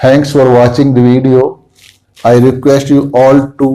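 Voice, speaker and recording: A man with an Indian accent speaks at a fairly slow pace in a dark, mellow tone. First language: Hindi. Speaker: homeopathy doctor and teacher. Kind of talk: lecture. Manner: halting.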